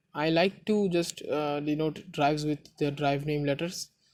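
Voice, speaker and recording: Speech comes at a moderate speed. A non-native accent is heard. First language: not English. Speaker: tech tutorial YouTuber. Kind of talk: tutorial. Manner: halting.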